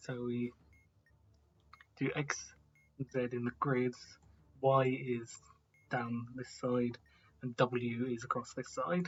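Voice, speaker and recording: The speaker is soft-spoken and talks at a very slow pace, with long, frequent pauses. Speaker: gaming video creator. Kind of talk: gameplay commentary. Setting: at home.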